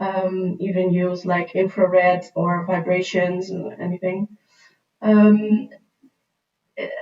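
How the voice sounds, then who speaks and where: At a very slow pace with long, frequent pauses, a woman with a Dutch accent talks at a medium pitch with ordinary pitch variation. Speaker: skincare and make-up presenter. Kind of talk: livestream Q&A tutorial. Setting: livestream. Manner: hesitant, many fillers.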